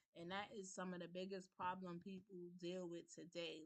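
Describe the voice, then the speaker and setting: At a moderate pace, a woman with a medium pitch speaks in a New York accent. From New York, the Bronx. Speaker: livestream host. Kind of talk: personal talk and testimony on a livestream. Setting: livestream on Zoom.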